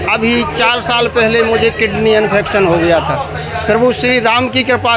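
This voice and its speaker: A man with a high pitch and ordinary pitch variation is heard over noticeable background noise, with audible room echo. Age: 60s. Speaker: Ramlila stage actor. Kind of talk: interview.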